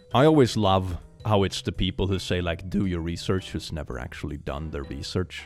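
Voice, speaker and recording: Over music in the background, a man speaks in an animated tone at a fairly quick pace. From Sweden. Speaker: reddit reaction youtuber. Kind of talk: casual commentary reading posts aloud.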